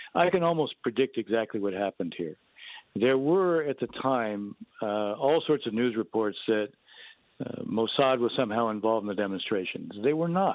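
With lively intonation and a medium pitch, a man speaks at a moderate pace in an unremarkable speaking voice. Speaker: Middle East policy expert. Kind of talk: interview.

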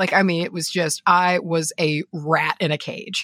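With a bright, sharp tone, a woman's fairly low voice shows ordinary pitch variation in a dry, close sound with no echo. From rural area. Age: young. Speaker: podcaster and witch. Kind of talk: casual chat. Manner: halting, many fillers and repeats.

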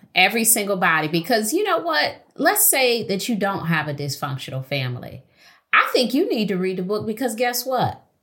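Bright and sharp in tone, a woman with an American accent speaks at a moderate pace and a fairly high pitch. Her voice makes very wide pitch swings and carries vocal fry. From Detroit. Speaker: therapist and author. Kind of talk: interview.

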